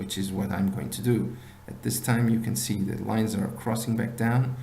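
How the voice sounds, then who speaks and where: A man's dark, mellow voice with lively intonation and vocal fry, plus audible room echo. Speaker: binary options trading instructor. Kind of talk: tutorial. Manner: halting.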